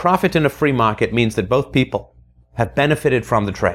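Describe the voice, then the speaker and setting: This man has a medium pitch. His pace is fairly quick. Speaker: podcast host. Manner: fervent, emphatic; rhetorical, preachy.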